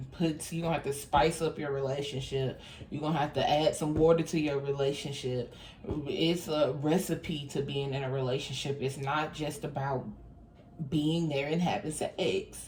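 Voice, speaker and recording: A woman speaks at a moderate pace with a very deep, low pitch and a monotone, flat intonation. Noticeable background noise runs underneath. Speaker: tarot reader. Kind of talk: tarot reading monologue.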